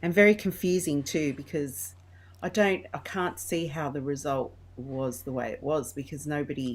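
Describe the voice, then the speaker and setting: With a strong Australian accent, a woman speaks at a moderate pace. Her very deep, low voice carries lively intonation. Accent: broad Australian. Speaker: interview guest. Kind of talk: casual chat.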